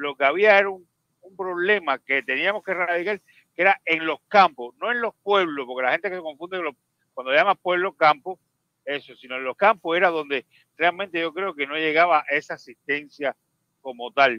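At a moderate pace, the voice shows big swings in loudness and ordinary pitch variation, with a dry sound, no echo, and a quiet background. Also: man. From Cuba. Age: 50s. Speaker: caller. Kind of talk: casual chat. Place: home room.

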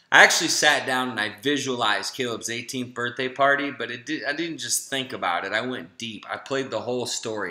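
With an American accent, a man speaks at a fairly quick pace with hardly any pauses, using a medium pitch, ordinary pitch variation and an animated tone, over noticeable background noise. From Florida. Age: 40s. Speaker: health and family coach. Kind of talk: webinar sales pitch.

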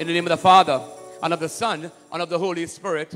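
A man talks at a fairly quick pace while faint music plays in the background. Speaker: priest leading Mass. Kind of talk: liturgical greeting and homily-style address. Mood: warm, prayerful. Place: church. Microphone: handheld.

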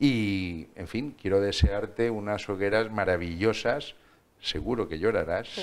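The speaker goes at a fairly slow pace with ordinary pitch variation and big swings in loudness. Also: man, fairly low pitch for a man. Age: 50s. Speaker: TV interviewer. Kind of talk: TV interview. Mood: warm, friendly. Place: studio.

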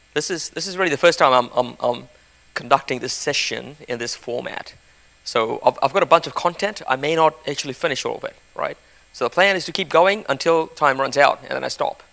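The speaker is a man with ordinary pitch variation. His loudness swings a lot. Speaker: conference presenter. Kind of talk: lecture. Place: hall. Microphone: handheld.

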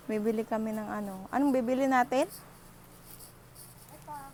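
The pitch moves in an ordinary way, the sound is dry with no echo, and there is light noise in the background. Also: woman. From Philippines. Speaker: vlogger, factory worker abroad. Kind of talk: casual vlog narration. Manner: animated. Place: shop. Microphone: earbuds.

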